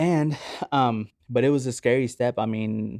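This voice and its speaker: Recorded with a dry, close sound and no echo, a man talks with a Spanish accent. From Oklahoma City, US. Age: 20s. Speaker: podcast guest sharing faith testimony. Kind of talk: casual interview, personal testimony.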